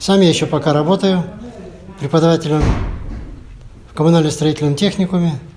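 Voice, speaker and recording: A man's fairly high voice at a very fast pace, with fairly even intonation, long, frequent pauses, audible room echo and noticeable background noise. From Russia, Yakutia (Yakutsk). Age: 70s. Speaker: table tennis veteran, teacher. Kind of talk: interview.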